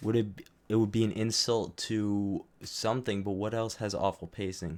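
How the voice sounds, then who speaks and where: On a very clean recording with a silent background, a man speaks in a flat monotone at a fairly low pitch. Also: moderate pace. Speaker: YouTuber recording video commentary. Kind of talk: live-streamed commentary rehearsal. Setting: live stream. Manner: halting, restarting phrases.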